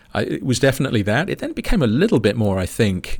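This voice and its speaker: The recording is very clean and the background silent. A man talks in a British accent. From England. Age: 50s. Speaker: space scientist. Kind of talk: casual chat.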